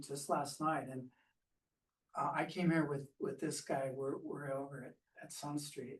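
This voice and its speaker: A man's fairly high, somewhat breathy voice at a moderate pace, with fairly even intonation and big swings in loudness. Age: 60s. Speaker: audience member, formerly homeless. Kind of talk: audience question. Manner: halting, many false starts.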